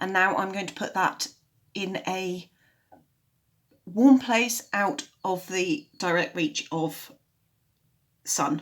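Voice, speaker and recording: A woman's raspy, put-on character voice at medium pitch, very slow and full of long, frequent pauses, with lively intonation. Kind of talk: casual gardening how-to narration.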